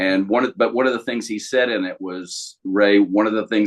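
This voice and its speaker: In a normal speaking voice, a man talks at a fairly quick pace and a fairly low pitch. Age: 60s. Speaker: life coach. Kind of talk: casual chat.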